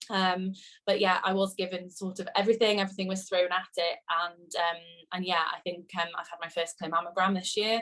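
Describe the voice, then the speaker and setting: A woman with a West Midlands accent speaks at a fairly quick pace in a medium pitch. Her tone is bright and sharp, her intonation monotone and flat. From England, Shropshire. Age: 20s. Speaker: cancer patient. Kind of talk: testimony. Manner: hesitant, many fillers.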